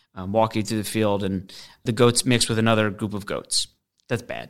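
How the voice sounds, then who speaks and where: A man with an American accent and an ordinary speaking voice talks at a fairly low pitch with fairly even intonation, on a very clean recording with a silent background. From US Northeast, Westport, Connecticut. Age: 30s. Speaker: entrepreneur. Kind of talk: interview. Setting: studio.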